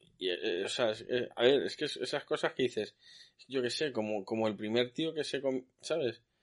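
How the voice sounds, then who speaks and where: A plain, everyday voice at a moderate pace, with ordinary pitch variation over a quiet background. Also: man. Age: 40s. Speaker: podcast host. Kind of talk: casual chat.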